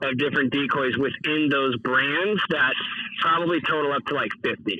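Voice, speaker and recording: A man with an American accent speaks at a fairly high pitch with ordinary pitch variation. Noticeable background noise is audible. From US West Coast. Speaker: decoy inventor and business owner. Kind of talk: casual podcast interview. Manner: casual, many filler words.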